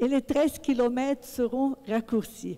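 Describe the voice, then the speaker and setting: A woman's high-pitched voice at a very slow pace. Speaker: audience member asking a question. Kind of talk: public question at a book talk. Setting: book club event with audience.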